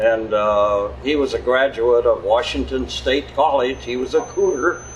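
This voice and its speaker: A man with an American accent speaks fairly slowly over noticeable background noise. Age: 90s. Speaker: retired hardware store owner. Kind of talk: interview. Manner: halting.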